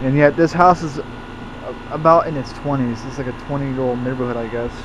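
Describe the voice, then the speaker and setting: Noticeable background noise sits behind this man's voice. He talks at a moderate pace with medium pitch and fairly even intonation. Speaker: HVAC hobbyist vlogger. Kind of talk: casual video walkthrough.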